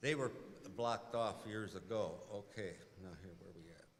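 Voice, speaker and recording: A man speaks with a rural Midwestern accent, and the room echo is audible. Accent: Midwestern American, rural. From Sugar Grove, Illinois. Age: 80s+. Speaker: resident public commenter. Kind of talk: public hearing testimony. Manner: halting.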